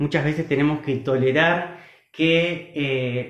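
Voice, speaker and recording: Fairly even intonation from a man, with audible echo in the room. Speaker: agronomist and food producer. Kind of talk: online talk.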